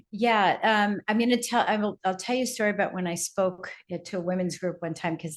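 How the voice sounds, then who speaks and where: With hardly any pauses and a fairly quick pace, a woman speaks in an ordinary speaking voice with ordinary pitch variation against a quiet background. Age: 60s. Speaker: speaker and business coach. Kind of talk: podcast interview, personal storytelling. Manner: conversational with many fillers.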